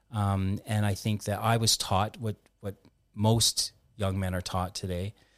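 A man speaks with a fairly low pitch and a monotone, flat intonation at a fairly slow pace. The recording is very clean with a silent background and a dry, close sound with no echo. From Canada. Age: 50s. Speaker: former ice hockey player, mental health nonprofit founder. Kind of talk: interview, personal testimony.

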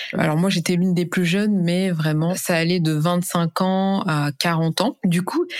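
At a fairly slow pace, a woman speaks in a fairly low pitch with fairly even intonation. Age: 20s. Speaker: e-commerce specialist and influencer. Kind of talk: interview testimony. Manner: hesitant, many fillers.

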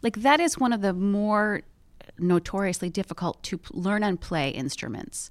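In a very clean recording with a silent background, a woman uses a normal speaking voice at a medium pitch and a moderate pace. Her intonation is lively, with big swings in loudness. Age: 40s. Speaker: podcast host. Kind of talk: casual chat.

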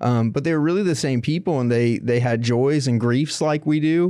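With an American accent, this man talks at a moderate pace in a dark, mellow tone with ordinary pitch variation against a quiet background. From Florida, Tampa area. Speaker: documentary journalist. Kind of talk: interview about history.

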